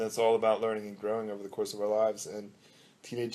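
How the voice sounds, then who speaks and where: The speaker is a man. His pitch is medium. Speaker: author. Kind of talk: author talk after a book reading. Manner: hesitant with fillers.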